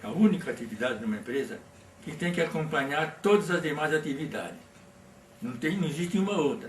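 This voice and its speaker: Amid noticeable background noise and audible room echo, a man talks at a fairly quick pace with a fairly high pitch and lively intonation. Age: 80s+. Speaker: workplace safety pioneer. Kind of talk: interview. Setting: at his home. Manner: halting.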